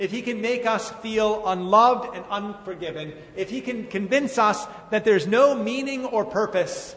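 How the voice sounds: The reading voice is natural, and its pitch varies in an ordinary way.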